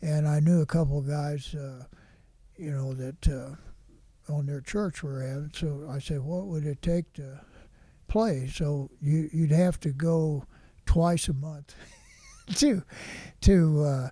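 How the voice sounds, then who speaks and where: An American-accented man speaks at a very slow pace with long, frequent pauses, his fairly high voice somewhat breathy. His tone is dark and mellow, and his intonation fairly even. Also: very clean recording, silent background. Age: 90s. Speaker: retired high school football coach. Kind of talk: interview answer.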